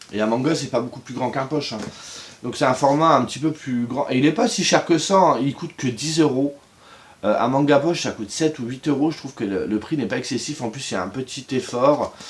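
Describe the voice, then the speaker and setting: A man talks fairly quickly, his pitch medium and its variation ordinary. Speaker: book reviewer youtuber. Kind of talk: casual video review. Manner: hesitant with fillers.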